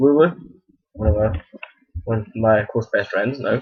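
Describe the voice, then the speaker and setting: A man with a Scottish accent at a medium pitch, ordinary pitch variation and a moderate pace. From Scotland. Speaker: video blogger. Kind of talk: casual Q&A vlog. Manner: halting, many false starts.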